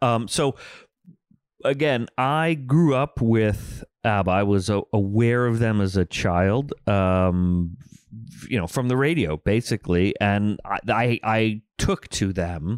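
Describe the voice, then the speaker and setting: A man with an American accent talks at a very slow pace and medium pitch. His intonation is lively, and the sound is dry and close with no echo. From Philadelphia area, US. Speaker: podcast co-host. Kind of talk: casual chat. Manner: halting, many fillers.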